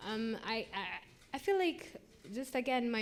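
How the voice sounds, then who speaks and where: A woman speaks at a moderate pace. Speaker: poet. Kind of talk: interview. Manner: loud.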